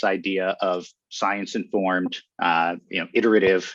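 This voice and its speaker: Against a quiet background, a man with a Western Pennsylvania accent talks at a fairly low pitch, the sound dry and close with no echo. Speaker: education technology researcher. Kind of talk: panel discussion. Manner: hesitant, many fillers.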